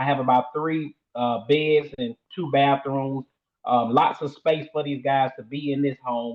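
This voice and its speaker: A man in a Southern US accent, with a fairly high pitch, fairly even intonation and a fairly slow pace. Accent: Southern country. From US South, Shreveport, Louisiana. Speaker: sober living home owner. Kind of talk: interview. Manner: hesitant, many fillers.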